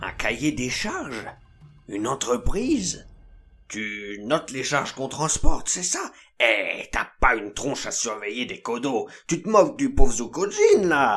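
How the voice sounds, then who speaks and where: The speaker uses a put-on character voice. The delivery moves at a moderate pace. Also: man, fairly high pitch for a man. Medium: machinima. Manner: casual slangy, calls everyone mec; speaks of himself in third person at times.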